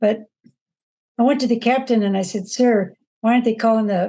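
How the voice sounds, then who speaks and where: A woman's somewhat breathy voice has a dark, mellow tone. She speaks at a moderate pace with ordinary pitch variation. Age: 70s. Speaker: former rally participant. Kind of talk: interview testimony. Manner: animated storytelling.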